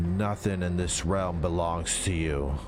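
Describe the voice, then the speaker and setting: A soft-spoken, growling put-on character voice moves at a fairly slow pace. Loud background noise runs underneath. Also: man, very deep, low pitch for a man. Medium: read story. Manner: calm, unfazed.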